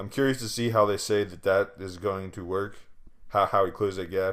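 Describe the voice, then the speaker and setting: Speech comes at a very fast pace in a very clean recording with a silent background. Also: man. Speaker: anime commentary youtuber. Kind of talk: casual commentary monologue. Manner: flat, unexcited tone; hesitant with fillers.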